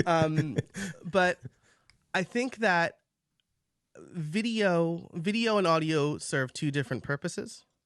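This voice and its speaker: Against a quiet background, a high-pitched man speaks very slowly with lively intonation and long, frequent pauses. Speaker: podcaster. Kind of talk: debate.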